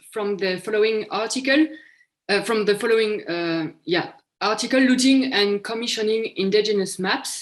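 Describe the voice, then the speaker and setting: A woman with a French accent speaks at a moderate pace, her fairly high pitch showing ordinary variation. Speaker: historian presenting a conference paper. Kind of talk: academic paper presentation. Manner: hesitant, many fillers.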